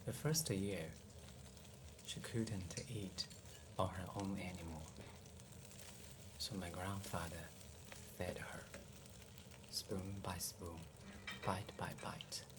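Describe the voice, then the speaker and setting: The tone is gentle and calm, at a very slow pace with long, frequent pauses. Noticeable background noise sits behind the voice. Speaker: home cook and ASMR storyteller. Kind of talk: ASMR cooking and bedtime storytelling, soft-spoken. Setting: kitchen, close microphone, cooking sounds. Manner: soft-spoken, gentle, calm, slow.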